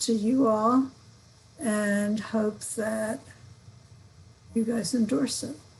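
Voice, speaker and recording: Her voice sits at a fairly high pitch, with fairly even intonation. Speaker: nominating committee chair presenting slate. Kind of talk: meeting report. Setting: video call.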